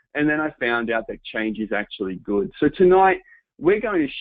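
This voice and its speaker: With an Australian accent, a man speaks using lively intonation. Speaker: home business entrepreneur, webinar presenter. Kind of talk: webinar presentation. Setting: online webinar.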